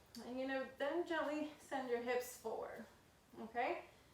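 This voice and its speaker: A woman at a fairly slow pace, with audible room echo. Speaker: yoga instructor. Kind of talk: guided yoga class. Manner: casual.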